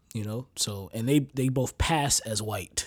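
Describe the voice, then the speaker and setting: Recorded very cleanly with a silent background, a man speaks at a fairly slow pace in a medium pitch with ordinary pitch variation. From United States. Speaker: podcast host. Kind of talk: casual monologue. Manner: halting, many fillers.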